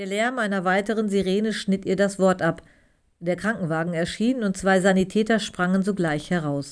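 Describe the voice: Pitch varies in an ordinary way throughout this plain reading aloud.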